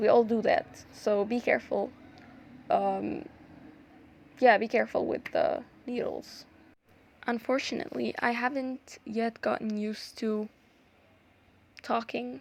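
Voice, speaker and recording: A woman speaks with an Arabic accent at a fairly slow pace. Her pauses are long and frequent. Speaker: art YouTuber. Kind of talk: tutorial. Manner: halting; casual, many fillers.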